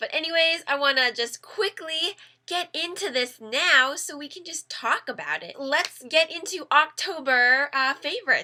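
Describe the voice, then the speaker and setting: Loudness swings widely in this raised, projected voice with a bright, sharp tone. The pace is moderate. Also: woman, high pitch for a woman, ordinary pitch variation. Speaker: YouTuber reviewing Korean dramas. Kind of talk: casual talk to camera, drama review.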